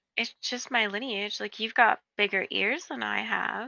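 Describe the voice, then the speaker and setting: This is a put-on character voice with a raspy edge. It moves at a moderate pace. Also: woman, medium pitch for a woman. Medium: game stream.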